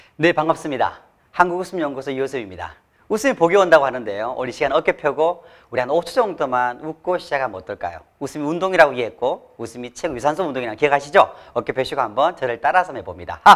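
Against a quiet background, a man talks very fast in a fairly high voice with lively intonation. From South Korea. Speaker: laughter therapist; laughter coach, lecturer. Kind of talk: motivational talk. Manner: animated. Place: studio. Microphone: lapel.

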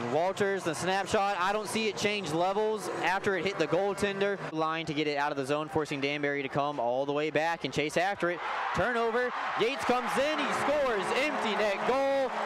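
Over loud background noise, a man with a high pitch sounds excited, his intonation lively and the sound dry with no echo. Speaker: play-by-play hockey commentator. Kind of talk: live sports commentary. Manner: fast, excited play-by-play, rising on goals; animated. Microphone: headset.

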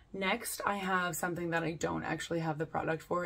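A woman with a plain, everyday voice, fairly low in pitch, with fairly even intonation at a moderate pace. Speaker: beauty vlogger. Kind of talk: casual product review chat. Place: home room.

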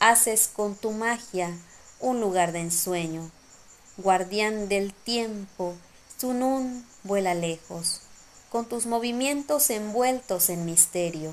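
A woman's gentle voice at a very slow pace over light background noise. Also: medium pitch for a woman, ordinary pitch variation. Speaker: poet. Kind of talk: poetry reading, spoken word. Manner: slow, gentle, contemplative, lyrical; soft-spoken, wistful and nostalgic. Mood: calm, lyrical. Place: home room. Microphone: phone near.

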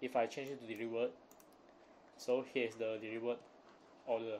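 A man at medium pitch talks at a fairly quick pace with monotone, flat intonation. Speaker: university student. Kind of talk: class presentation.

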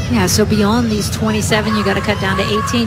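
Noticeable background noise accompanies speech at a moderate pace. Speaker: colour commentator. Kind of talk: live sports commentary. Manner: conversational, analytical, laughs.

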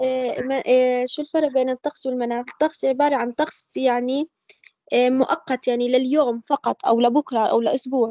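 Fast and high-pitched, a woman speaks with a dark, mellow tone and fairly even intonation in a dry, close sound with no echo.

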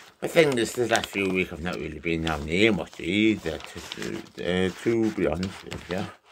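Very deep and low in pitch, a man speaks at a fairly slow pace with ordinary pitch variation. Noticeable background noise runs behind him. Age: 30s. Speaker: vlogger. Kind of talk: casual vlog monologue. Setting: in a garden shed. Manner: halting, repetitive.

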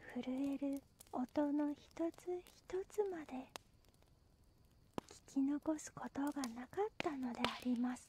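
Soft-spoken, this speaker moves through the words at a very slow pace. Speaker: storyteller. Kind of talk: bedtime story reading. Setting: campfire sounds and music in background. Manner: halting, stammering.

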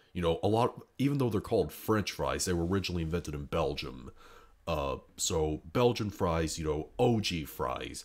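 In a quiet background, a man speaks at a moderate pace with a very deep, low pitch. His delivery has vocal fry and lively intonation. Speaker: youtuber. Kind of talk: casual monologue. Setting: indoors at home, others sleeping. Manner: quiet, subdued; hesitant, many fillers. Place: home room.

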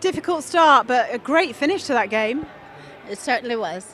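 With lively intonation, a woman talks at a moderate pace in a dry sound with no echo, with light background noise. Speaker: netball coach. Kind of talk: post-match interview; interview answer. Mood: proud, calm after game. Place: hall. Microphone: handheld.

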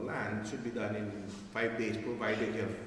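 Over light background noise and audible room echo, a man speaks in a fairly low pitch with monotone, flat intonation. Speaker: speaker. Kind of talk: conference speech. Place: hall.

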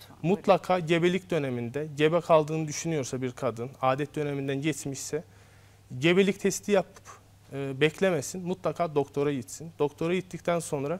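A man's fairly high voice at a moderate pace, with big swings in loudness and ordinary pitch variation. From Azerbaijan, Baku; Azerbaijan. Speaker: obstetrician-gynecologist; guest. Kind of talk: TV health interview. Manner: hesitant, frequent fillers. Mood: calm, explanatory. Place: studio. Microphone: lapel.

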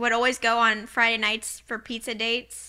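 A woman with a bright, sharp tone speaks at a moderate pace over a quiet background. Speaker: podcast co-host. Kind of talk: casual chat. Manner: giggly. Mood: warm, curious. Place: home room. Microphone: studio mic.

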